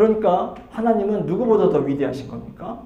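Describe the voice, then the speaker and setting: In a room with audible echo and noticeable background noise, a man speaks at a fairly slow pace, his pitch swinging very widely. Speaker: pastor. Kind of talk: Bible study lecture. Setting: church. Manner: halting with fillers.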